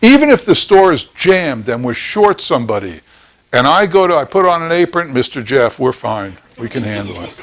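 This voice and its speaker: A man's fairly high, fairly quick speech with an American accent and very wide pitch swings. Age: 70s. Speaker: ice cream business instructor. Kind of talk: lecture. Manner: conversational, blunt.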